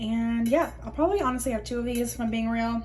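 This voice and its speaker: Audible room echo surrounds the voice. Noticeable background noise is also present. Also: woman. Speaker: lifestyle vlogger and yoga teacher. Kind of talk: casual vlog. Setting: subway.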